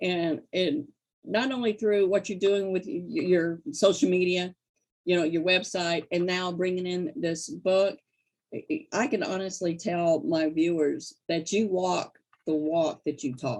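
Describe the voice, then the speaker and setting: Fairly slow pace and lively intonation in an unremarkable speaking voice. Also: woman, medium pitch for a woman. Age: 60s. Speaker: interview host. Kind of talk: interview.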